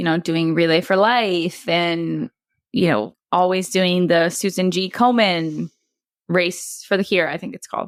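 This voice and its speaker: A woman with a Wisconsin accent speaks in a fairly low pitch with ordinary variation, on a very clean recording with a silent background. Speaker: bereaved mother. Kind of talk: podcast interview, personal story.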